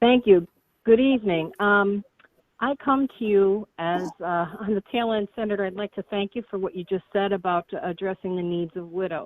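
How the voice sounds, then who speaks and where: With an unremarkable speaking voice, a woman talks at a moderate pace and medium pitch, her pitch varying in an ordinary way. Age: 60s. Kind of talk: question to politician. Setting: phone call.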